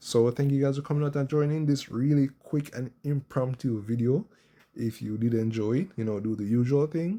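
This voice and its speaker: Soft-spoken, a man talks at a moderate pace. His tone is dark and mellow. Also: medium pitch for a man, ordinary pitch variation. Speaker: gaming youtuber. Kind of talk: casual gameplay commentary.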